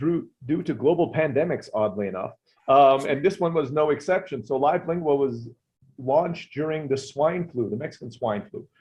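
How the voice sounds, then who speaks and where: A man speaks at a fairly quick pace in a fairly high, somewhat breathy voice with lively intonation. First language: not English. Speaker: online business owner. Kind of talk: interview.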